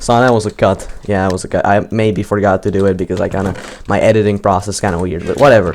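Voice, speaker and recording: Someone with a non-native accent talks at a very fast pace with fairly even intonation over noticeable background noise. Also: man, fairly low pitch for a man. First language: not English. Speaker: gaming youtuber. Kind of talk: live gaming commentary. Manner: stuttering, repeats words; casual, unscripted.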